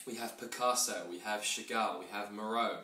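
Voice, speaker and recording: A man talks at a fairly quick pace with an English accent. Audible room echo and noticeable background noise come through. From England. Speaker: art auctioneer. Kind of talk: sales pitch. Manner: fast; animated.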